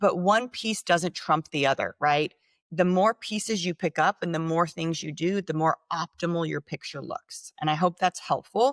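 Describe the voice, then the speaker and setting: A woman with a plain, everyday voice speaks at a fairly low pitch with ordinary pitch variation and hardly any pauses, the sound dry and close with no echo. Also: moderate pace, very clean recording, silent background. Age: 40s. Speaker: regenerative medicine company executive. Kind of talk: interview.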